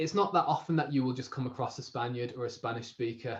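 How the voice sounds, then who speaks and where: With ordinary pitch variation, the words come at a very fast pace. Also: man. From northwest England, Warrington. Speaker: language learner. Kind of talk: casual conversation.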